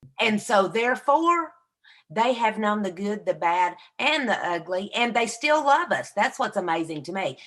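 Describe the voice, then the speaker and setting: Using a Southern US accent, a woman speaks at a moderate pace in a fairly high pitch, her pitch swinging very widely. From US South. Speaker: podcast co-host, inspirational speaker. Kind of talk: casual chat. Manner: animated.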